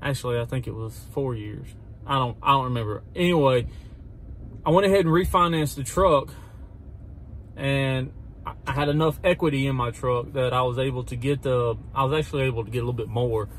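Somewhat breathy, a man talks at a fairly quick pace with ordinary pitch variation and long, frequent pauses, in a dry sound with no echo and light background noise. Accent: Mississippi. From US South, Mississippi. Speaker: lawn care business owner, vlogger. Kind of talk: casual vlog talk. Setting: in a car, driving. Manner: halting, many fillers.

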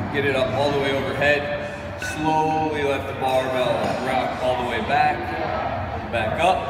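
A man speaks at a fairly slow pace. Loud background noise and audible room echo fill the recording. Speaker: coach. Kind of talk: tutorial. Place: gym.

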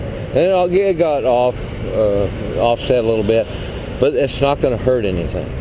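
The man keeps a moderate pace and ordinary pitch variation while noticeable background noise runs underneath. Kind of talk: casual vlog explanation. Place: street. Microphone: phone near.

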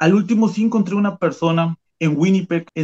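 In a dry, close sound with no echo, a man speaks at a fairly quick pace. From Mexico, Veracruz. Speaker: immigrant worker. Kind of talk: testimony.

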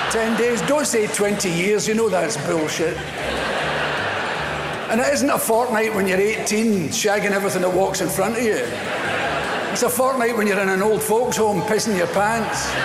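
A man speaks at a moderate pace with a Scottish accent. His long, frequent pauses sit over loud background noise. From Scotland. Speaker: stand-up comedian. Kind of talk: stand-up comedy routine. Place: stage. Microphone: lapel.

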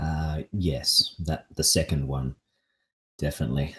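Speaking very slowly in an Australian accent, this man has a very deep, low pitch and sounds somewhat breathy. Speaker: pickleball coach. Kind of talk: casual chat. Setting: live podcast. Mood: relaxed, joking. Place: home room. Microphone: studio mic.

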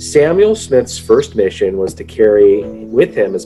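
Clear music plays behind the speech. The speaker is a man. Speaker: lesson teacher for a children's group. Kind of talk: lesson storytelling. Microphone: webcam.

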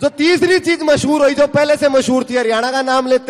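This man speaks at an extremely high pitch. His pitch variation is ordinary. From Haryana, India. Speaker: stand-up comedian. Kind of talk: live stand-up comedy to an audience. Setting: outdoor event stage with PA system.

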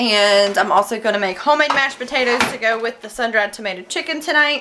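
Over noticeable background noise, a woman talks at a fairly quick pace in a high pitch with lively intonation. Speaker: mom vlogger. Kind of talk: casual vlog chat. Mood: cheerful, upbeat. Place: kitchen. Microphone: phone near.

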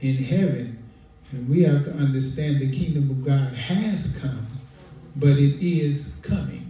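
A man speaks at a fairly slow pace. Audible room echo hangs on his voice. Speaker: preacher. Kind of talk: sermon. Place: church.

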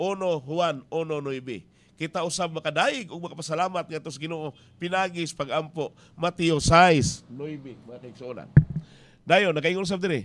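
At a moderate pace, a man with a fairly high pitch and ordinary pitch variation talks with big swings in loudness. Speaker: radio preacher. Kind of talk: radio sermon. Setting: radio station. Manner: earnest, exhortative preaching. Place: booth. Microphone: studio mic.

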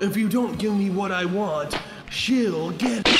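Loud background noise surrounds a man doing a cartoonish character voice at a high pitch and a fairly slow pace. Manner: theatrical, smug.

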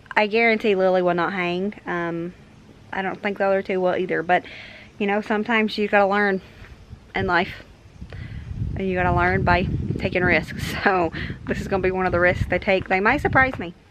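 Speaking at a fairly quick pace, a woman keeps her intonation fairly even. Background noise is noticeable. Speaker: mom vlogger. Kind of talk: casual vlog chat. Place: home room. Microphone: phone near.

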